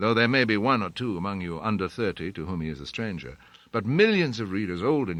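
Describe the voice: Plain reading aloud, carried by lively intonation.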